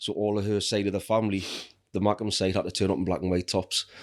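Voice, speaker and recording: Speaking very fast with a Geordie accent, a man keeps a fairly low, monotone, flat delivery on a very clean recording with a silent background. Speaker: falconer and outdoor educator. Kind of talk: casual chat. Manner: loud.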